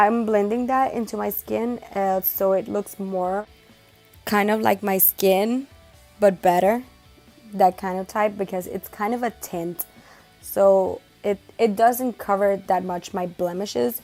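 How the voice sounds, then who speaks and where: Over music in the background, a woman with a Spanish accent speaks at medium pitch and a fairly slow pace, her intonation fairly even. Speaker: makeup beauty vlogger. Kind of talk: makeup tutorial talk to camera. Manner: casual, chatty.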